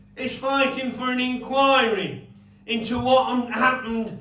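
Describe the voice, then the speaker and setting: In a Yorkshire accent, a man talks at a fairly slow pace and an extremely high pitch, with audible room echo. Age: 70s. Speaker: former miner and campaigner. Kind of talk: speech.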